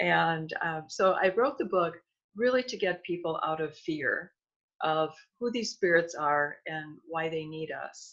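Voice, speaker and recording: This is a normal speaking voice, moving at a fairly slow pace. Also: woman, fairly low pitch for a woman, lively intonation. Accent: American. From US Midwest, Milwaukee Wisconsin. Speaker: author and energy healer. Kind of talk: interview.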